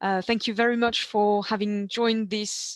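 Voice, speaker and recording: At a moderate pace, a woman with a slight French accent speaks in a fairly high voice. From eastern France. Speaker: ancient food specialist. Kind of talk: webinar presentation. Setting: video call.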